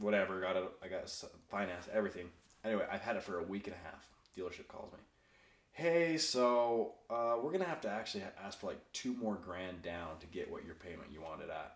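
A man with a fairly low pitch and an ordinary speaking voice talks at a fairly quick pace with lively intonation. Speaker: podcast host. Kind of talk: casual chat. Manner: casual, excitable.

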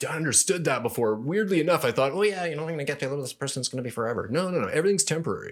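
Barely pausing at all, a man talks at a very fast pace in a fairly high voice. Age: 50s. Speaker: former male exotic dancer and author. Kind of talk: casual interview storytelling. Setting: studio.

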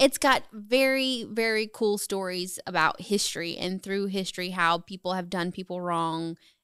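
In a slight Southern US accent, the speaker goes at a moderate pace with hardly any pauses and ordinary pitch variation, on a very clean recording with a silent background. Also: woman, medium pitch for a woman. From US South, Charlotte, North Carolina. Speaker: photographer and realtor, Air Force veteran. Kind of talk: casual interview. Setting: studio.

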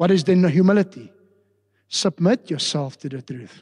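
The recording is dry and close with no echo as a man speaks at a high pitch, moderate pace and with lively intonation. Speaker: pastor. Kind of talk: sermon.

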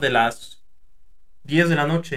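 A very slow delivery with a Mexican accent and fairly even intonation. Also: man. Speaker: podcast host, former fast food worker. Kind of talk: casual chat.

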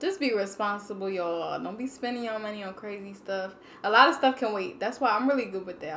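At a fairly quick pace, a woman speaks at medium pitch with ordinary pitch variation, with audible room echo and noticeable background noise. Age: 20s. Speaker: podcast guest. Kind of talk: casual chat. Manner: animated.

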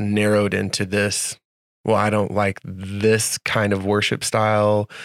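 A man speaks at a fairly slow pace in a fairly low voice. His intonation is monotone and flat. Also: dry, close sound with no echo. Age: 40s. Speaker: worship leader and co-author. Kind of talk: casual chat.

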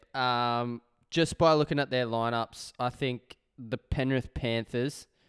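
Recorded very cleanly against a silent background, with a dry, close sound and no echo, a medium-pitched man speaks with an Australian accent and fairly even intonation. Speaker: sports betting podcast co-host. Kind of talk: casual chat.

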